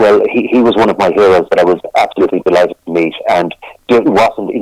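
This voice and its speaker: With an Irish midlands accent, a man talks at a very fast pace in a dry, close sound with no echo. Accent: Irish (Roscommon). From Ireland, County Roscommon. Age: 60s. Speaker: folk singer-songwriter. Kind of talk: interview. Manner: halting, many repetitions.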